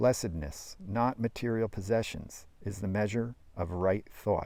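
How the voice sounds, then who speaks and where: A man speaks at a moderate pace in a fairly low pitch with a dark, mellow tone. His pitch varies in an ordinary way on a very clean recording with a silent background. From New Jersey. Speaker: retired firefighter; actor. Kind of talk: audiobook reading. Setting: outdoors.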